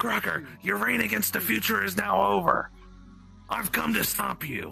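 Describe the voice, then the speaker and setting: A man's cartoonish character voice, fairly low in pitch, with clear music in the background. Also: moderate pace. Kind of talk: anime parody acting. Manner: earnest, dramatic, then uneasy.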